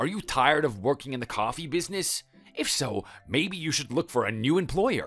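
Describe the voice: Using a put-on character voice, a man speaks with a fairly bright tone, a slightly husky edge and big pitch swings over faint background music. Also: medium pitch for a man, moderate pace.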